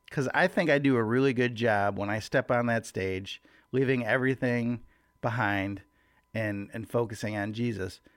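This man talks at a moderate pace with a medium pitch and ordinary pitch variation. He has a normal speaking voice. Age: 40s. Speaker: church worship leader and devotional podcaster. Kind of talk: casual devotional talk. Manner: casual, conversational.

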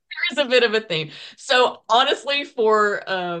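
She speaks with a Southern US accent. The speaker is a woman. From US South, eastern Tennessee. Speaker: indie singer-songwriter. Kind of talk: interview. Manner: hesitant, many fillers.

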